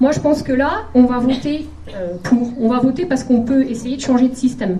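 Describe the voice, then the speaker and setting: With high pitch and ordinary pitch variation, a woman speaks in a space with audible room echo and noticeable background noise. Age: 40s. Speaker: political candidate, primary school teacher. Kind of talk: campaign rally speech. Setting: packed hall with audience. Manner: hesitant, many filler sounds.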